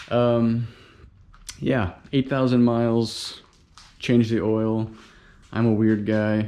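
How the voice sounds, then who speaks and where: A man speaks at a medium pitch with a dark, mellow tone, relaxed and very slow, leaving long, frequent pauses. His intonation stays fairly even and his loudness very even. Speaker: DIY car maintenance vlogger. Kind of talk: casual tutorial narration. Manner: casual, relaxed.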